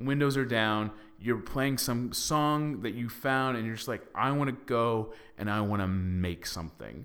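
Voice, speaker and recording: A man talks at a moderate pace in an American accent. It is an ordinary speaking voice with ordinary pitch variation. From Texas (Dallas). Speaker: podcast host, actor. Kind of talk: casual chat.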